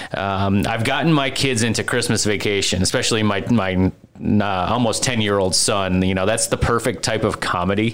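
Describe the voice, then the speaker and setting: Noticeable background noise sits behind a man speaking at a moderate pace with very even loudness. His pitch is fairly low, with ordinary variation. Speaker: podcast host and producer. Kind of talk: casual chat. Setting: studio.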